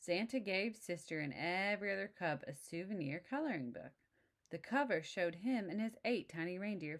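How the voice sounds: The clip is a natural reading voice with lively intonation.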